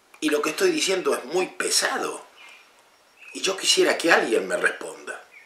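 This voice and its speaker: A man talks at a moderate pace with long, frequent pauses, amid noticeable background noise and audible room echo. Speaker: political commentator. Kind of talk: political commentary monologue. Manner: impassioned, rhetorical questions.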